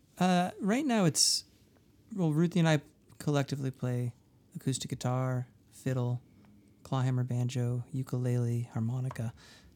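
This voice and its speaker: On a very clean recording with a silent background, a man of medium pitch speaks with long, frequent pauses. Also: ordinary pitch variation, moderate pace. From New Hampshire, US. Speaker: musician, songwriter. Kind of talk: casual interview chat. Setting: touring, interview at a festival.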